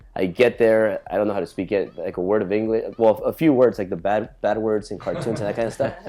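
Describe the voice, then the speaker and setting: A man's dark, mellow voice at medium pitch, very fast and with hardly any pauses, with ordinary pitch variation. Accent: Spanish. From Los Angeles, California (Echo Park, San Fernando Valley). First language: Spanish. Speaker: entrepreneur. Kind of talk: interview. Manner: repetitive, stammering restarts.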